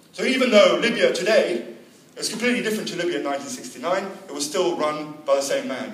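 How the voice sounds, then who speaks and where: Noticeable background noise sits behind a man whose pitch is high for a man. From Lebanon. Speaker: journalist and activist speaker. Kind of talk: public talk at a political meeting.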